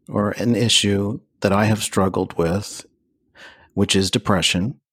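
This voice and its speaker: A man speaks at a very slow pace. The recording is very clean with a silent background and a dry, close sound with no echo. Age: 50s. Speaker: podcast host. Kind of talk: interview.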